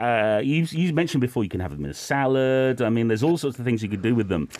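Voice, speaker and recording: A man with a British accent makes very wide pitch swings over noticeable background noise. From United Kingdom. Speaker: radio host. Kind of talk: casual radio chat about food. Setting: radio studio.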